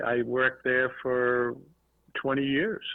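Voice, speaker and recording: A man talks with a Boston accent. His pace is very slow. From Boston area, Massachusetts. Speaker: toy and redemption industry businessman. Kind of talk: podcast interview.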